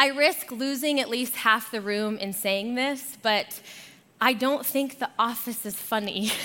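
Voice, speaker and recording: In a raised, projected voice with an American accent, a woman speaks at a fairly slow pace, her high pitch showing ordinary variation and her tone bright and sharp. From Arizona. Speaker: guest pastor. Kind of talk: sermon. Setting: church.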